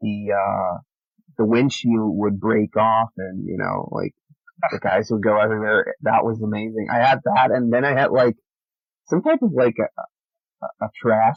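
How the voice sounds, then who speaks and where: A man speaks at a medium pitch and a fairly slow pace. Long, frequent pauses break up his speech. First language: not English. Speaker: podcast guest. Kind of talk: casual chat. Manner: halting, many fillers.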